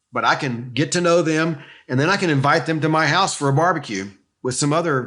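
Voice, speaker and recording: At a fairly quick pace, a man with a fairly high pitch speaks in a bright, sharp tone marked by vocal fry. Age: 60s. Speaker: youth ministry leader. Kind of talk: interview.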